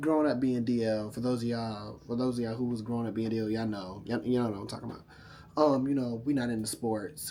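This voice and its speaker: Audible room echo surrounds a man with a medium pitch. He talks in an animated tone at a very fast pace. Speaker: YouTuber. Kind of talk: storytime vlog.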